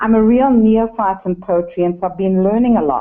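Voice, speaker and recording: A woman speaks in a southern African accent with ordinary pitch variation. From Zimbabwe. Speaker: caller, online course student. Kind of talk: phone-in comment. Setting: phone call. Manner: hesitant.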